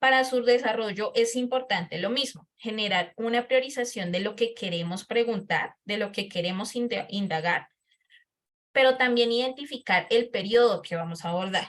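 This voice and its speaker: She has an ordinary speaking voice, fairly high in pitch, with ordinary pitch variation. The woman speaks at a moderate pace. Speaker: lecturer. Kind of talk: lecture.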